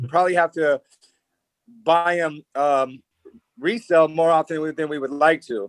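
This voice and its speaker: With an American accent, a high-pitched man speaks at a moderate pace in a dry, close sound with no echo. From US West Coast. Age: 30s. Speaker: reality TV personality. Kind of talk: casual chat. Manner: halting.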